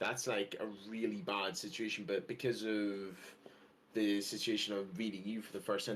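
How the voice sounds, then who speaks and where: Recorded with audible room echo, a man speaks at a fairly low pitch with fairly even intonation. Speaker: podcast co-host. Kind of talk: casual chat.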